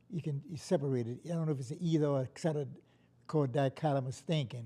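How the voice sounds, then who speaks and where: This man talks very fast at a fairly high pitch, his tone dark and mellow with some breathiness. His pitch varies in an ordinary way. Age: 80s+. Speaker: anti-racism organizer. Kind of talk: interview. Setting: studio. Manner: halting.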